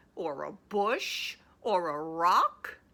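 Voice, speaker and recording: A woman in a put-on character voice. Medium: read story. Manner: scowling, didactic.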